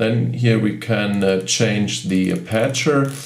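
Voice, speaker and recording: A man with a German accent talks at a very slow pace and a fairly low pitch. Music plays in the background, and the room echo is audible. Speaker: camera reviewer. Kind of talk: tutorial. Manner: halting.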